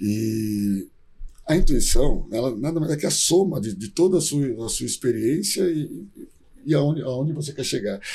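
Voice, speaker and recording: This man's voice is fairly high-pitched, somewhat breathy, and dark and mellow in tone. He talks at a moderate pace with lively intonation. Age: 40s. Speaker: startup founder and CEO. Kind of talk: interview.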